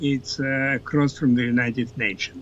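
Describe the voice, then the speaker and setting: A man's voice with a non-native accent. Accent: foreign. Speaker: political scientist. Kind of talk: interview.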